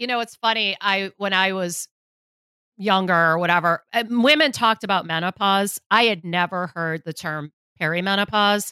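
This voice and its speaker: In a very clean recording with a silent background and a dry, close sound with no echo, a woman speaks loudly at medium pitch and a moderate pace, with a bright, sharp tone and ordinary pitch variation. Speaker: podcast host and beauty blogger. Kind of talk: casual interview.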